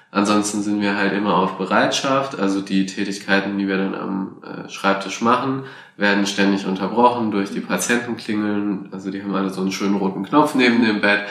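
A man's fairly low, fairly even voice at a moderate pace, with audible room echo and noticeable background noise. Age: 20s. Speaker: hospital volunteer. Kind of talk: interview. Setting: hospital.

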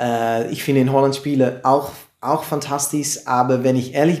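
Audible room echo surrounds a man speaking at a fairly slow pace in a fairly high pitch with fairly even intonation. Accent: Dutch. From Netherlands, Amersfoort. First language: Dutch (speaking German). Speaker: comedian. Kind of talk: interview. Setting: live stream, in person. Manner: halting.

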